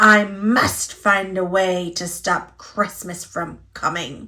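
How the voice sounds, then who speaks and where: Using a put-on character voice, a woman growls her words at a very slow pace. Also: medium pitch for a woman. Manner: growling, scheming.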